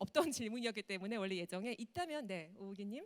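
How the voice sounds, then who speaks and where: Using an ordinary speaking voice, a woman talks at a fairly quick pace with lively intonation in a dry, close sound with no echo. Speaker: moderator, TV announcer. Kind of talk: panel moderation.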